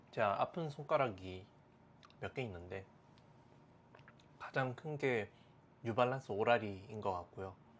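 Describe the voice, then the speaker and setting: Relaxed in tone, a man at medium pitch talks at a fairly slow pace with lively intonation and long, frequent pauses. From South Korea, Daegu. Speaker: fashion and sneaker YouTuber. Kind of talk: casual monologue to camera. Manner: relaxed with frequent fillers.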